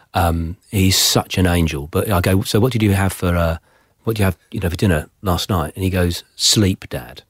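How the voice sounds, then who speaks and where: Somewhat breathy, a man with a very deep, low pitch speaks at a moderate pace with ordinary pitch variation, in a dry, close sound with no echo. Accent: English. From England (Somerset family, born Plymouth). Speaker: podcast host. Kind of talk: interview.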